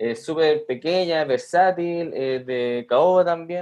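A man's intonation stays lively even as he talks at a very slow pace. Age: 30s. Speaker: metal guitarist, sound engineer. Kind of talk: casual interview. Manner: halting, repeats words.

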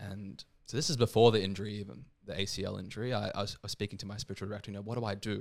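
Speaking very fast in an Australian accent, a man with a fairly low pitch keeps his intonation fairly even on a very clean recording with a silent background. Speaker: seminarian and former professional footballer. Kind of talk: casual interview chat.

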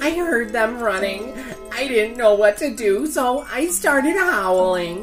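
A shaky, put-on character voice at a fairly high pitch moves at a fairly slow pace, with clear music in the background.

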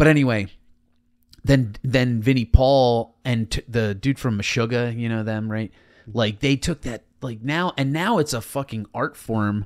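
A man with a plain, everyday voice speaks at a fairly slow pace and medium pitch, with ordinary pitch variation, in a dry, close sound with no echo on a very clean recording against a silent background. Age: 30s. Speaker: stand-up comedian. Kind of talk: casual chat.

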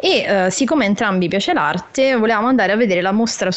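A woman talks at a very fast pace with ordinary pitch variation. There is noticeable background noise. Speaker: youtuber. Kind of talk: casual chat.

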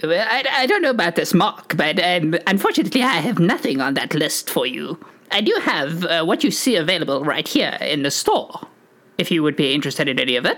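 A female-sounding put-on character voice at a middle pitch moves along at a fairly quick pace. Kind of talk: formal, precise diction. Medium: actual play. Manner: hesitant, fussy, hedging with many "uh"s.

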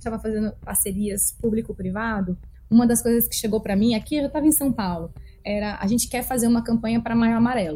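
Here a woman speaks with a dark, mellow tone. Her voice is somewhat breathy. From Brazil, Brasília (Taguatinga). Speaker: marketing executive. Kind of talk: interview.

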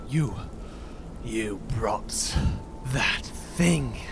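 Over loud background noise, a man puts on a character voice with a very deep, low pitch.

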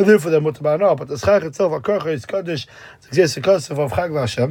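A man with an American accent, his fairly high voice dark and mellow in tone, with lively intonation. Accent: American Yeshivish English. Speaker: Talmud teacher. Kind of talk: lecture.

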